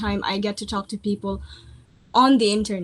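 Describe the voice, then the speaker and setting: Against noticeable background noise, the speaker talks with a non-native accent at a moderate pace. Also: woman. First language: not English. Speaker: writer. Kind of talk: interview.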